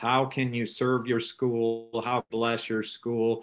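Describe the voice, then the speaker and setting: This is a man speaking with a US Midwestern accent. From US Midwest, rural northeast Nebraska. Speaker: rural ministry trainer. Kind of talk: interview.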